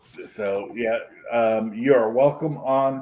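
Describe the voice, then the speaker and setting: Pitched in the medium range, a man's voice shows ordinary variation in pitch. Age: 50s. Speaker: streamer. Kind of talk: casual chat.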